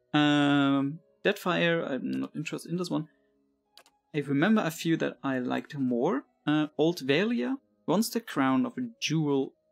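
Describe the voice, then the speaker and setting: The speaker has a German accent and a fairly slow pace. Music plays in the background. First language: not English. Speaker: let's play gamer. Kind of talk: casual gameplay commentary.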